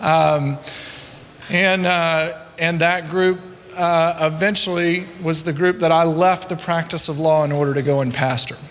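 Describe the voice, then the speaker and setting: In a high pitch and a monotone, flat intonation, a man speaks at a fairly slow pace, with audible room echo and noticeable background noise. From US South, rural Louisiana. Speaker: church consultant, former attorney and pastor. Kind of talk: conference talk.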